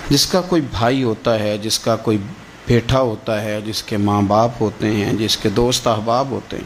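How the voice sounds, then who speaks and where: Here a man talks at a medium pitch. Noticeable background noise is present. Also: ordinary pitch variation. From Pakistan. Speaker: Islamic preacher. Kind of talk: religious sermon. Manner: emotional, impassioned.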